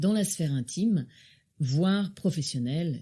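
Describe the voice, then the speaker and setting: A woman speaks with a very deep, low pitch and a dark, mellow tone, somewhat breathy, with ordinary pitch variation. Her pace is moderate, and the recording is very clean with a silent background. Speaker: podcast host. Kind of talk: podcast interview introduction.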